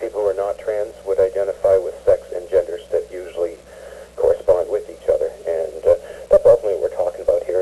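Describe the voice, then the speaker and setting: Through noticeable background noise, a man speaks at a very fast pace and an extremely high pitch in a monotone, flat intonation. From Newfoundland. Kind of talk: radio phone-in discussion.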